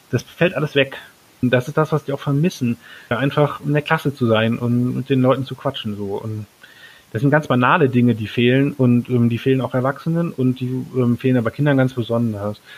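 Fairly quick in pace, a man speaks at medium pitch with fairly even intonation. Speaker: teacher. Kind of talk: interview. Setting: remote call.

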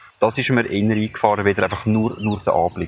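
With noticeable background noise, a man with a fairly low pitch speaks at a very fast pace. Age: 20s. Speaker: funeral advisor. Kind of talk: personal audio diary.

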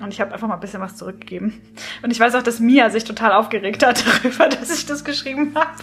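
The speech comes at a very fast pace with big swings in loudness. Noticeable background noise is present. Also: woman, fairly high pitch for a woman, ordinary pitch variation. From southern Germany, Swabia near Stuttgart. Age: 30s. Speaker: author and copywriter. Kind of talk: casual chat.

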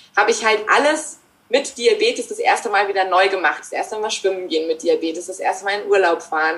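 With an unremarkable speaking voice, a woman talks at a fairly quick pace and fairly high pitch with lively intonation. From Germany. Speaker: author and mindfulness trainer. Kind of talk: interview. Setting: remote call.

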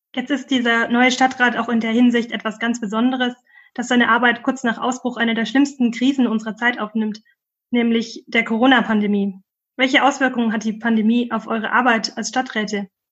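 Against a quiet background, a woman with a fairly high pitch talks at a fairly quick pace in a flat, monotone way. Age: 30s. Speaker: podcast host and doctoral researcher. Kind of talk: podcast hosting.

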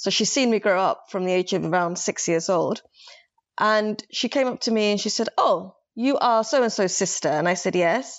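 A woman's medium-pitched voice in a London accent, moderate in pace, with ordinary pitch variation and very even loudness. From London, England (born Somaliland). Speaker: novelist. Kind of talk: casual literary discussion.

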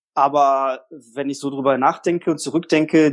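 This is a man talking. His pitch is fairly high. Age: 30s. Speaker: single guest on dating podcast. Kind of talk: casual interview. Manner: talkative. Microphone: echoey room on host side.

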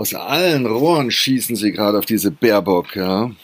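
A man speaks with lively intonation. His tone is animated. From Germany. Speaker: podcast host. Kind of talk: casual monologue.

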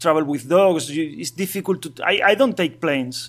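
A high-pitched man with a Spanish accent. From Asturias, northern Spain. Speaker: bike traveler and dog trainer. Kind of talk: interview. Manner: halting.

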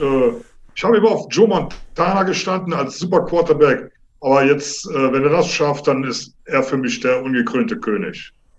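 Here is a man with a plain, everyday voice, pitched fairly high. He keeps a moderate pace with lively intonation. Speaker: amateur football player and coach. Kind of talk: interview. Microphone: unstable line, tinny satellite sound.

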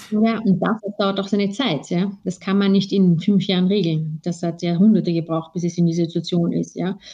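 Somewhat breathy and dark, mellow in tone, a woman speaks at a medium pitch and moderate pace with hardly any pauses. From Austria. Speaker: lawyer. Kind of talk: interview. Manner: hesitant, many fillers.

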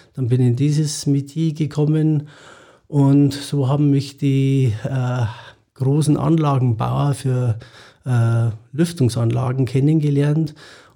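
Somewhat breathy and dark, mellow in tone, a man talks at a very slow pace in a fairly high pitch, his intonation fairly even and his loudness very even. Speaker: chimney sweep and ventilation cleaning business owner. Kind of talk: interview. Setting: studio.

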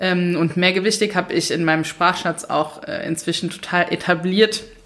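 A woman at a medium pitch, a plain, everyday voice, moderate pace and ordinary pitch variation. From Mainz, Germany. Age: 30s. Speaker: author and minimalism coach. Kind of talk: casual interview. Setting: in-person recording at host's home.

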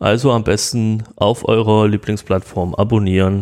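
On a very clean recording with a silent background, a man with a plain, everyday voice speaks at a fairly slow pace and a fairly low pitch. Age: 30s. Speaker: podcast host, IT entrepreneur. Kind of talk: podcast introduction monologue.

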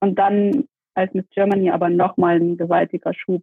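Speaking at a moderate pace, a woman keeps fairly even intonation at a medium pitch. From Saxony, Dresden. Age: 30s. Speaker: police officer and former beauty queen. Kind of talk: interview.

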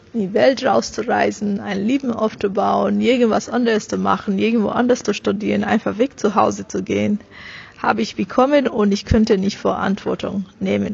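Words come at a moderate pace. A non-native accent is present. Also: woman. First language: not German (speaking German). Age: 30s. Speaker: business coach and author. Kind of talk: interview. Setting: at an event.

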